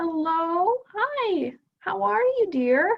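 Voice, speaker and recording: In a put-on character voice, a female-sounding speaker squeaks at an extremely high pitch with very wide pitch swings. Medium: actual play. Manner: warm, fussing, chatty.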